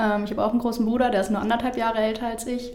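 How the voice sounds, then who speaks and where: A woman's fairly even intonation comes through audible room echo and noticeable background noise. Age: 20s. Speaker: football player, team captain. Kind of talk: interview. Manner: hesitant, many fillers.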